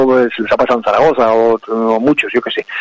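A man speaks with a dry, close sound and no echo. Noticeable background noise is present. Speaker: cultural commentator. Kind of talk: casual chat.

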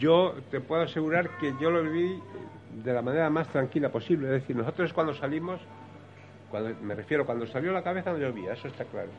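Noticeable background noise runs under a man's fairly high pitch. He speaks at a fairly quick pace with ordinary pitch variation. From Spain, Valladolid. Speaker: brotherhood member. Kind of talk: radio talk show panel. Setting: café venue with live audience.

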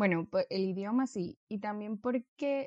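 A woman with a coastal Ecuadorian accent and a dark, mellow tone, in a dry, close sound with no echo and a quiet background. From Ecuador, Guayaquil. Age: 20s. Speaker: engineer. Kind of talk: casual chat.

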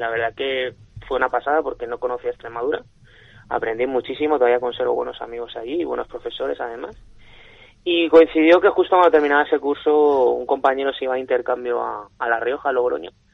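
This man's pitch moves in an ordinary way. He speaks at a very fast pace. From Elche, Alicante, Spain. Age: 30s. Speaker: winemaker and wine sales director. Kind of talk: radio interview. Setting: radio studio.

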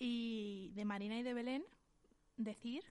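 A woman's normal speaking voice, fairly high in pitch, with fairly even intonation. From Valencian Community, Spain. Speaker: podcast co-host. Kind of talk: casual chat.

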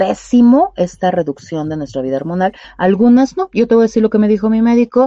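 A dark, mellow tone moves through very wide pitch swings at a moderate pace, recorded dry and close with no echo. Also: woman. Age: 40s. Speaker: sexologist. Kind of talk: radio interview. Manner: hesitant, many fillers.

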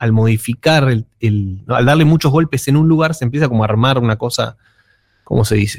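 In a normal speaking voice, a man talks at a fairly quick pace and medium pitch with ordinary pitch variation. The sound is dry and close with no echo, on a very clean recording with a silent background. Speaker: music columnist. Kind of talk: radio music segment.

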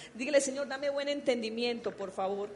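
Noticeable background noise sits behind a woman who talks in an animated tone at a high pitch with ordinary pitch variation. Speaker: pastor. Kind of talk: sermon. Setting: church. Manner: animated, fervent preaching with rhetorical questions.

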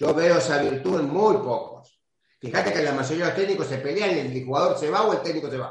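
Amid audible room echo, a man with an Argentine accent talks at a fairly quick pace and a fairly high pitch. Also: ordinary pitch variation. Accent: Argentine Spanish (Rioplatense). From Argentina. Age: 60s. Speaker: retired football goalkeeper. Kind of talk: interview.

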